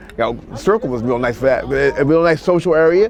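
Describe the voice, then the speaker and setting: Over noticeable background noise, a man with an American accent speaks at a fairly high pitch with lively intonation. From Washington, D.C. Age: 60s. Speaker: retired nurse. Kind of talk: oral history interview. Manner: halting.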